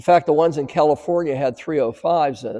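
The background is quiet as a man talks in a dark, mellow tone. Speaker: car dealer salesman. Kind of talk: sales walkaround presentation. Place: shop.

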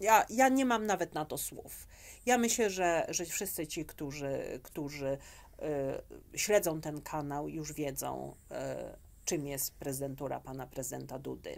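A woman with a very deep, low pitch speaks fairly slowly, her lively intonation paired with vocal fry and big swings in loudness. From Poland. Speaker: immigration specialist; interview guest. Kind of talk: interview. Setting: studio. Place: studio.

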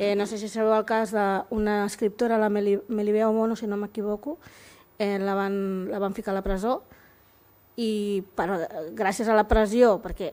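This woman's voice sits at a fairly high pitch and has a dark, mellow tone. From Catalonia, of Equatorial Guinean descent. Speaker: visual artist and activist; panelist. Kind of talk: panel discussion. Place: hall. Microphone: podium.

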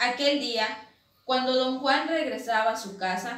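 In a room with audible echo, a woman speaks at a fairly slow pace. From Quintana Roo, Mexico. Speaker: university student reading her own legend. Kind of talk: reading aloud a legend, ghost story telling. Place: home room. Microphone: camera far.

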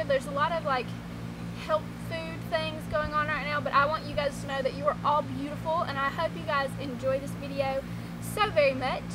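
A fairly quick pace over loud background noise. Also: woman. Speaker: vlogger. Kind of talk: casual vlog chat. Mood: cheerful, encouraging. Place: garden.

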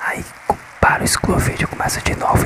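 A man's voice comes through dry, with no echo. Loud background noise runs underneath. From northeast Brazil. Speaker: ASMR content creator. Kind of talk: whisper ASMR with tapping triggers. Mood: resigned, slightly frustrated. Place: home room. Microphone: phone near.

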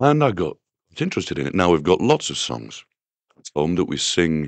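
Speaking at a fairly quick pace with a Yorkshire accent, a man with a very deep, low pitch makes very wide pitch swings and big swings in loudness. The sound is dry with no echo and the background is quiet. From northern England. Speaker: singer-songwriter. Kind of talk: interview answer. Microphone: old recording.

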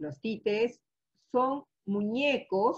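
Against a quiet background, a woman speaks. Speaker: teacher. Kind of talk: online class lecture. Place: home room. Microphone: webcam.

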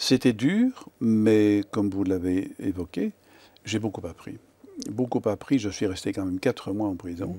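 At a fairly slow pace, a man speaks in a fairly low pitch with a dark, mellow tone and fairly even intonation. The sound is dry with no echo. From Wallonia, Belgium (Namur, Verviers); Wallonia, Belgium. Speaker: lawyer; interviewee. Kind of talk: interview. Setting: TV studio. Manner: hesitant, repeats words. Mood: calm, reflective, thoughtful. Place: studio. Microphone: lapel.

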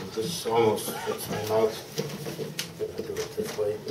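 Noticeable background noise sits under a man's voice. He speaks at a fairly slow pace. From Canada. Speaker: poet. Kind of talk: casual introduction to a poem before a live audience. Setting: live reading event, microphone. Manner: hesitant, conversational.

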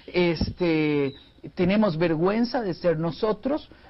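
Ordinary pitch variation in the high-pitched voice of a man. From Costa Rica. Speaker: family counselor and speaker; speaker. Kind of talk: TV interview. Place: studio. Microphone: lapel.

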